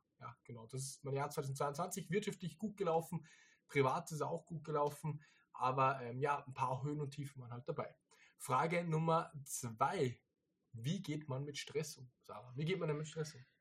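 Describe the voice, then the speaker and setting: This man has a fairly high pitch and a somewhat breathy voice. He talks at a moderate pace with ordinary pitch variation. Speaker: podcast host, online reseller business owner. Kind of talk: casual chat.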